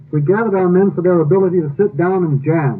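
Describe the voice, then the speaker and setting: Noticeable noise runs through the background. The speech keeps a moderate pace, and its pitch varies in an ordinary way. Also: man. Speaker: radio broadcast co-narrator and jazz expert. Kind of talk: radio broadcast narration explaining jam sessions.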